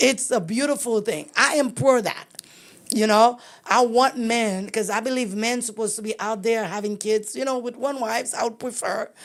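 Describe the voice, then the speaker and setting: Fairly even intonation in a plain, everyday voice. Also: woman, fairly high pitch for a woman, moderate pace. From immigrant, came to US very young. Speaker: podcast host. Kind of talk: interview conversation.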